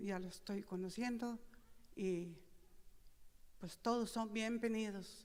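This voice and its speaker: Here a woman talks at a fairly slow pace. Her pitch sits in the medium range, and her intonation stays fairly even. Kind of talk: speech at opening ceremony. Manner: halting.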